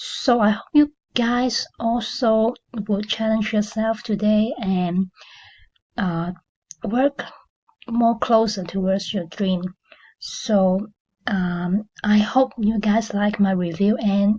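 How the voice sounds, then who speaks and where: A woman speaks at a very slow pace, with long, frequent pauses and fairly even intonation. Her tone is dark and mellow, and somewhat breathy. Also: fairly high pitch for a woman. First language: not English. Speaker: affiliate marketing reviewer, channel owner. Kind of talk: product review video. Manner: hesitant, many fillers.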